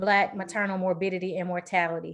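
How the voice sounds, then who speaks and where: A woman with a Southern US accent speaks with her voice pitched in the medium range. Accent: Southern twang. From Mississippi, US South. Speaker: panel moderator, public health researcher. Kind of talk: panel introduction.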